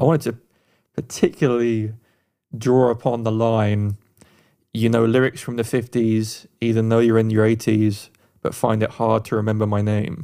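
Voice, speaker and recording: With an English accent, a man speaks at a medium pitch and a moderate pace, leaving long, frequent pauses. His tone is dark and mellow, his intonation monotone and flat. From England. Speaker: podcast co-host, music producer. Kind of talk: advice; music review.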